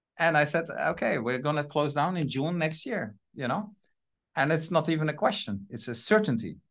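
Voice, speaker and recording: The intonation is lively, with a Dutch accent. The background is quiet. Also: man, fairly high pitch for a man, moderate pace. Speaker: trade agency representative. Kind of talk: interview. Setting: video call. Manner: halting.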